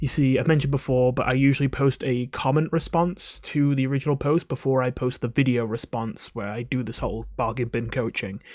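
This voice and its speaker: A man talks quietly at a medium pitch and a fairly quick pace, with hardly any pauses. His intonation is fairly even. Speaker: video game coach and YouTuber. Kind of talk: casual commentary to camera. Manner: quiet, voice kept down.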